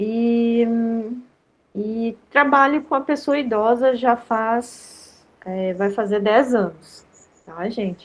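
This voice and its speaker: The speaker goes very slowly with long, frequent pauses and ordinary pitch variation against a quiet background. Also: woman, fairly high pitch for a woman. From Rio Grande do Sul, Brazil. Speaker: lecturer on digital education for seniors. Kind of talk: online workshop lecture. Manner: informal, many fillers.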